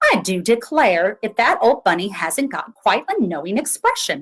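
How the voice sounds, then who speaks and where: Exaggerated, put-on character voice, its pitch leaping up and down dramatically. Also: woman, fairly high pitch for a woman, moderate pace. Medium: read story.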